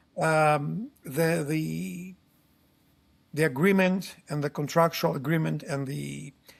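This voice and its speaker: A man speaks at a very slow pace with a fairly high pitch and ordinary pitch variation. His voice is somewhat breathy, on a very clean recording with a silent background. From Greece. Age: 60s. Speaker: solar tech company founder. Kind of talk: interview. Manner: halting.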